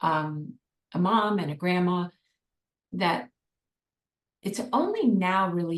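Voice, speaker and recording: A woman speaks at a very slow pace. Her pitch is medium, with ordinary pitch variation. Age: 60s. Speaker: art therapist and meditation teacher. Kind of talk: interview conversation. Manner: halting.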